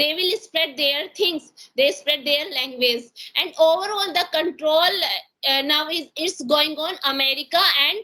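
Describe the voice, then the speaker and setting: A woman with an Indian accent speaks in a raised, projected voice at a fairly slow pace. Her pitch is high with ordinary variation, and her tone is bright and sharp. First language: Hindi. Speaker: English conversation practice partner. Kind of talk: casual conversation practice. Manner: halting, many fillers.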